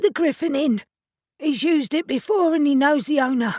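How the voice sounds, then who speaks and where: A woman does a squeaky, put-on character voice at a high pitch with lively intonation. Her loudness stays very even, and the sound is dry and close with no echo. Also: moderate pace. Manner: frightened, cowed.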